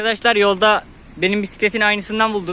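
A man's raised, projected voice, high in pitch, at a fairly quick pace, over noticeable background noise. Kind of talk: casual vlog talk while riding.

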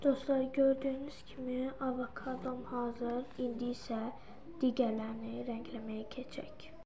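Amid audible room echo and noticeable background noise, a woman speaks at a fairly slow pace in a high pitch, her intonation monotone and flat. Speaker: craft video creator. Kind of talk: tutorial.

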